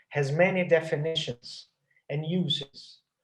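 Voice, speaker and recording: The voice belongs to a man with a fairly high pitch. He speaks in a Portuguese accent. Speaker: anthropology professor. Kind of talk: academic lecture. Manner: halting, many fillers and repetitions.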